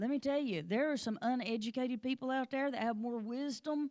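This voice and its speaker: An animated voice with an American accent speaks at a fairly quick pace, its pitch varying in an ordinary way. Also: woman. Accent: strong rural hill accent, sounds like a hick. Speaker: Sunday school teacher, pastor's wife. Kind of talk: Bible lesson in church. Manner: animated, conversational.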